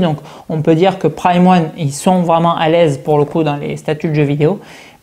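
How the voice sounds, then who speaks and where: At a fairly quick pace, a woman speaks with a fairly low pitch and a dark, mellow tone. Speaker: collectibles reviewer. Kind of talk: product review. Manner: animated.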